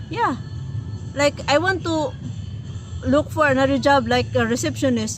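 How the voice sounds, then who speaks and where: A woman with a Filipino accent speaks at a fairly slow pace over music in the background. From Philippines. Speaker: language and culture tutor, co-host. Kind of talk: casual chat.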